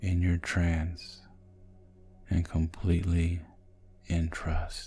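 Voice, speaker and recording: Over music in the background, a man speaks at a very slow pace in a very deep, low pitch. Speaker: hypnotist. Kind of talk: sleep hypnosis. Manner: slow, soft-spoken.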